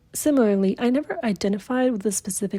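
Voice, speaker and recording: On a very clean recording with a silent background, a woman speaks at a fairly quick pace with a fairly high pitch and ordinary pitch variation. Her voice is somewhat breathy, with a dark, mellow tone. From Puerto Rico. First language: Spanish. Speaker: university student. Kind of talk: reading aloud a reflection essay.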